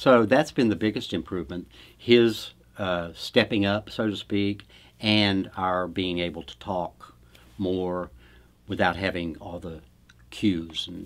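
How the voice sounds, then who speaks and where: Very slowly and with long, frequent pauses, a man speaks at a very deep, low pitch with ordinary pitch variation and big swings in loudness. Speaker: spouse and caregiver of aphasia patient. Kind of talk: interview answer. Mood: pleased, appreciative. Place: studio.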